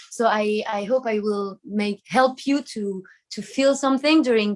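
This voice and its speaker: A woman with a French accent talks in a fairly high pitch with ordinary pitch variation. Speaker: singer. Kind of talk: interview. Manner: halting.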